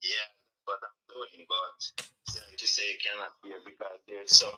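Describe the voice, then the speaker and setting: A man speaks with big swings in loudness. Music plays in the background. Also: moderate pace. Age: 60s. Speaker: caller. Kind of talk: call-in comment.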